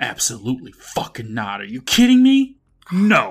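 At a moderate pace, a man does a put-on character voice at a medium pitch. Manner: serious, stern.

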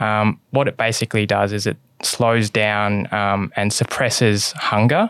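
Fairly even intonation in an Australian accent, with a dry, close sound and no echo. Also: man. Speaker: investment analyst. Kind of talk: casual interview chat. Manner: frequent fillers (um, sort of).

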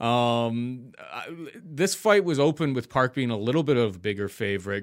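A man with an ordinary speaking voice, at a medium pitch and moderate pace. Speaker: podcast host and betting analyst. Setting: video call.

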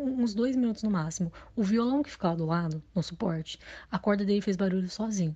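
Against a quiet background, a woman speaks fairly quickly in a somewhat breathy voice at medium pitch. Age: 20s. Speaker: listener sharing a story. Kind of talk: recorded personal story.

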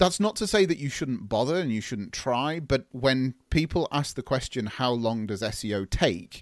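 A man with an English accent at a medium pitch, moderate pace and lively intonation, hardly any pauses, dry, close sound with no echo, very clean recording with a silent background. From England. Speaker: digital agency owner. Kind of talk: podcast interview, explanatory.

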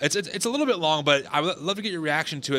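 A man speaks with a fairly high pitch. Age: 30s. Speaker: podcast host. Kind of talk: casual interview conversation.

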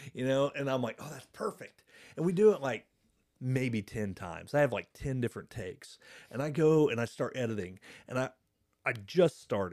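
Speaking at a moderate pace and medium pitch, a man with a Midwestern American accent uses lively intonation in a very clean recording with a silent background. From Indiana, Blackford County. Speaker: podcast host. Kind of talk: casual chat. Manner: talkative.

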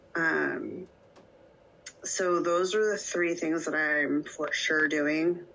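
Over noticeable background noise, a woman speaks very slowly in a fairly low, monotone, flat voice, with long, frequent pauses. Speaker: podcast co-host, plastic surgery patient. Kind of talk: casual chat.

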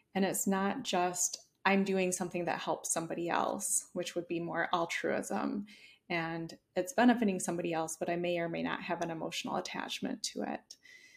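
With vocal fry and a fairly low pitch, a woman speaks at a moderate pace with ordinary pitch variation. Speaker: psychologist and burnout expert. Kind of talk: interview conversation.

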